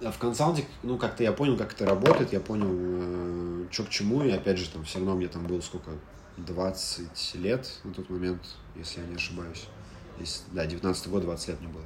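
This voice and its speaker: A man speaks at a moderate pace in a very deep, low pitch, with ordinary pitch variation and big swings in loudness. Audible room echo and noticeable background noise are present. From Russia, Moscow. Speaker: startup data executive. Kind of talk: interview.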